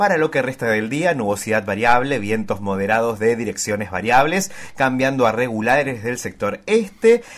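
A man talks with hardly any pauses at a moderate pace. He has an ordinary speaking voice at medium pitch, with lively intonation. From Argentina, Chubut. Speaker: radio co-host. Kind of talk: radio news and message reading. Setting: radio studio.

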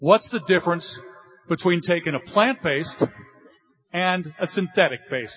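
This man has a high pitch and ordinary pitch variation. He speaks at a very slow pace with long, frequent pauses. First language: English (speaking Spanish). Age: 50s. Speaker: corporate speaker at a sales event. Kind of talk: motivational presentation with live interpretation.

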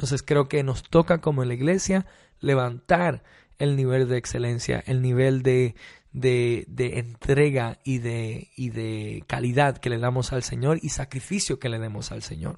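Fairly slow speech from a man at a medium pitch, its variation ordinary. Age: 30s. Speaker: worship pastor. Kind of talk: interview. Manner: hesitant, many fillers.

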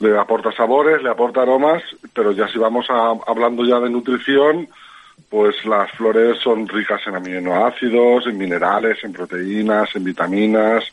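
A man at a moderate pace and medium pitch, with noticeable background noise. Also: ordinary pitch variation. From Alzira, Valencia, Spain. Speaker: edible flower grower, former cook. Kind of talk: interview.

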